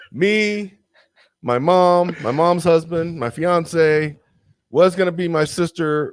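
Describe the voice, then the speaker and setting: An animated man with a fairly high pitch and a strong Southern US accent. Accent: thick Southern US. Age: 30s. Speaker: podcast guest. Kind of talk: casual chat.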